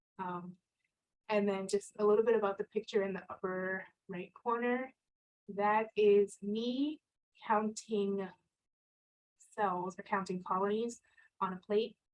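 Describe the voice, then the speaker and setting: With a Spanish accent, a woman speaks at a fairly slow pace with long, frequent pauses and fairly even intonation, in a dry, close sound with no echo. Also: medium pitch for a woman. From Connecticut, US. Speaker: scientist. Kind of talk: career talk with slides.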